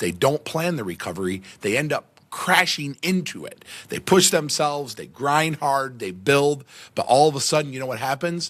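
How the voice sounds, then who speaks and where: A man with a fairly high pitch sounds energetic, his intonation lively and his loudness swinging widely. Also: moderate pace. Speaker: podcast host. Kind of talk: motivational monologue.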